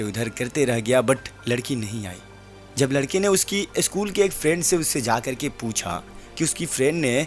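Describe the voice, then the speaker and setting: Music plays in the background as a man talks at medium pitch. His intonation is lively. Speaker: radio jockey, story narrator. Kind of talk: radio-style audio story narration.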